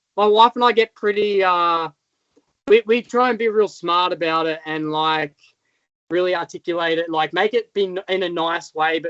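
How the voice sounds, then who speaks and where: Ordinary pitch variation and a moderate pace, in an Australian accent. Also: man. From rural Australia. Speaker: motocross stunt rider. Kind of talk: casual interview chat. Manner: halting, many fillers.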